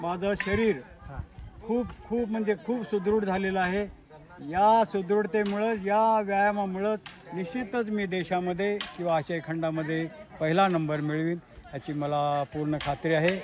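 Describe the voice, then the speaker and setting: A man talks at a high pitch with ordinary pitch variation. The sound is dry with no echo, with light background noise. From Kolhapur district, Maharashtra; Maharashtra. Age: 70s. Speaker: retired sports teacher and masters athlete; retired sports teacher. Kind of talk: interview. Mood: proud, confident. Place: open country.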